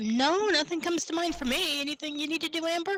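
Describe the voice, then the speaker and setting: In a put-on character voice, the speaker talks squeakily at an extremely high pitch and a very fast pace. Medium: actual play.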